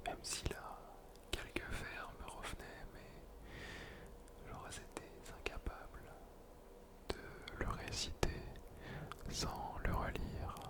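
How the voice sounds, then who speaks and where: Whispering at a very slow pace, a man leaves long, frequent pauses. Noticeable background noise can be heard. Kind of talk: casual talk to camera. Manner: whispered.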